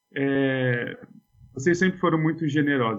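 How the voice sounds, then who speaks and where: A man with an ordinary speaking voice, medium in pitch, with fairly even intonation. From Brazil, Suzano (São Paulo state). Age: 40s. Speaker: philosophy teacher. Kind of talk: casual chat.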